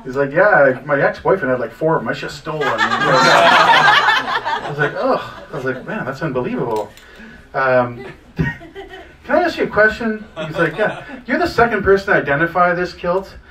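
Noticeable background noise sits behind a man talking at a moderate pace. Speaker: stand-up comedian. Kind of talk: stand-up comedy storytelling. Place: cafe.

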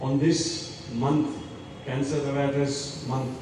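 A man's voice rings with strong room echo over light background noise. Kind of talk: public speech. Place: street. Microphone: pa.

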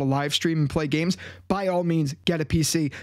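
Against a quiet background, a man with a high pitch speaks in an animated tone. He talks at a fairly quick pace. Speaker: tech YouTuber. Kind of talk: casual vlog review. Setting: home desk setup. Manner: conversational, animated. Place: home room. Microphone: studio mic.

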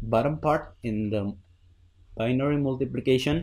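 His pitch moves by an ordinary amount. The speaker is a man. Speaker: Minecraft redstone builder. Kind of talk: tutorial voice-over explaining a build. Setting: home recording with new microphone. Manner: hesitant, stuttering. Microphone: studio mic.

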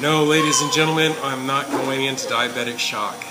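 Loud background noise surrounds a man as he talks. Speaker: food reviewer. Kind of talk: casual food review commentary. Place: cafe. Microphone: phone near.

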